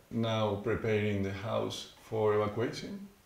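A man's voice comes through with audible room echo. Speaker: university geography professor. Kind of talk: interview answer. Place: office. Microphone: lapel.

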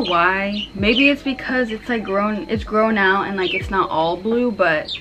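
Against noticeable background noise, a woman talks with hardly any pauses and ordinary pitch variation. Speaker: vlogger. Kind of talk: casual vlog chat. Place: home room. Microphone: camera far.

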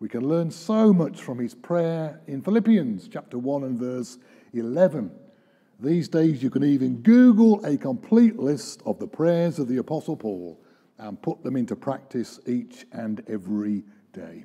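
Over a quiet background, a man talks at a fairly slow pace in a dark, mellow tone, his loudness swinging widely. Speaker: preacher. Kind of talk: sermon. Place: church. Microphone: podium.

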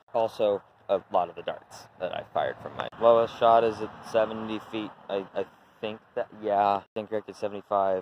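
A man speaks in a bored tone at a moderate pace, his pitch fairly low. His intonation stays flat and monotone over noticeable background noise. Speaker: Nerf blaster hobbyist. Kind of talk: casual talk to camera. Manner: bored, annoyed-sounding.

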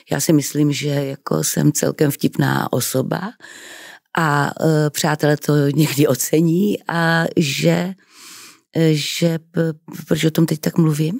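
Against a quiet background with a dry sound with no echo, a woman speaks at a very slow pace with vocal fry, a very deep, low pitch, fairly even intonation and long, frequent pauses. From Czech Republic, Moravia (Třebíč); Moravia, Czech Republic. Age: 60s. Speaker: actress. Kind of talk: interview. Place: studio. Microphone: studio mic.

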